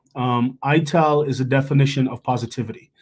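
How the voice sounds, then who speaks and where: A man with a Jamaican accent speaks at a medium pitch with fairly even intonation, recorded very cleanly against total silence. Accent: Jamaican, trips on some words. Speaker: chef. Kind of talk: panel discussion.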